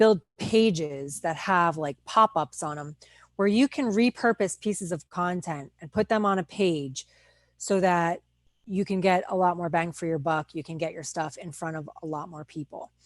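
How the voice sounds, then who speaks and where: Delivered at a moderate pace with lively intonation, the voice has an American accent and a dry, close sound with no echo against a quiet background. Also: woman. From New Jersey. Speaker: online business coach. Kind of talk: live webinar training. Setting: Facebook live stream with screen sharing.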